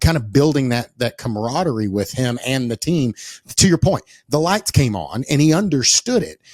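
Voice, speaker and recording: A man with an East Texas accent, medium pitch, lively intonation and a moderate pace, in a dry, close sound with no echo. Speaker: podcast host. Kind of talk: casual interview conversation. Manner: repetitive, restarting phrases.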